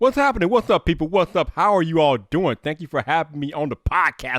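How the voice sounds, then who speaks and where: An animated man speaks at a very fast pace with hardly any pauses, a fairly high pitch, very wide pitch swings and big swings in loudness, in a very clean recording with a silent background and a dry, close sound with no echo. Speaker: tech YouTuber and live streamer. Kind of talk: podcast interview. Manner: high-energy, animated; announcer-like presenter delivery.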